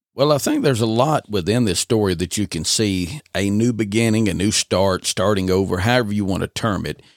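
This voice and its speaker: With a very clean recording, a silent background and a dry, close sound with no echo, a man in an unremarkable speaking voice talks at a fairly quick pace with ordinary pitch variation. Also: fairly low pitch for a man. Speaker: podcast host. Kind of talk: scripture reading, dramatized audio adaptation narration. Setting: studio. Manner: measured, solemn, reverent narrator cadence with archaic King James phrasing.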